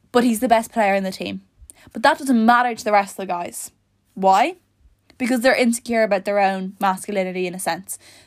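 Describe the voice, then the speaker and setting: A woman talks at a fairly quick pace in an animated tone, with big swings in loudness and ordinary pitch variation. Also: medium pitch for a woman. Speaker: podcast host. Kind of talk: casual monologue. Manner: fast.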